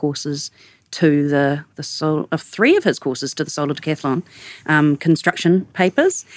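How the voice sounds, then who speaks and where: A woman's very deep, low voice with a New Zealand accent, dry and close with no echo, in a very clean recording with a silent background. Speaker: architect, studio co-founder. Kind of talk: casual interview conversation.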